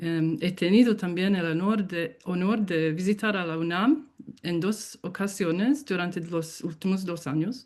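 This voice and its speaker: A speaker with a non-native accent talks at a fairly slow pace. The pitch varies in an ordinary way. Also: woman, medium pitch for a woman. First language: English (speaking Spanish). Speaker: professor, keynote speaker. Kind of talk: lecture. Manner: halting.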